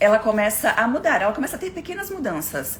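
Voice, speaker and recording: Background noise is noticeable throughout. The speaker is a woman. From southern Brazil, Florianópolis. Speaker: motivational speaker. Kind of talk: live stream talk. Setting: live stream. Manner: fast.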